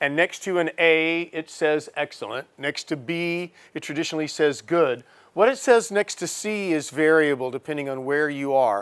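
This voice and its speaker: This man has an American accent and a normal speaking voice, pitched fairly high. He talks at a moderate pace with ordinary pitch variation. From USA. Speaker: professor. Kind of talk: lecture.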